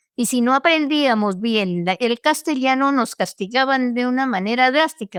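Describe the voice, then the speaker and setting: On a very clean recording with a silent background, a woman with a Colombian accent speaks at a fairly slow pace with lively intonation. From Colombia, Misak territory (Cauca). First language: Namtrik (speaking Spanish). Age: 80s+. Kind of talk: interview testimony. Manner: halting, with repetitions.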